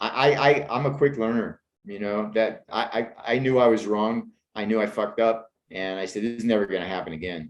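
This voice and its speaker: In an American accent, a man uses an ordinary speaking voice with medium pitch, ordinary pitch variation and a fairly quick pace. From Pittsburgh, Pennsylvania. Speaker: screenwriter and actor. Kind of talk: interview conversation.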